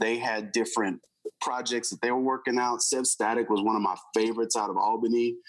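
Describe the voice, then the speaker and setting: A man with an American accent, a plain, everyday voice, medium pitch, fairly even intonation and a fairly quick pace. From Houston, Texas. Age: 40s. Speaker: hip hop artist. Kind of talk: interview.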